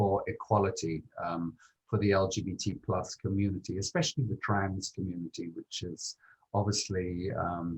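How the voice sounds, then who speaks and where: At a moderate pace, the somewhat breathy voice carries on. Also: man. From Britain. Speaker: tourism marketing executive. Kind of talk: interview. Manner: hesitant, many fillers.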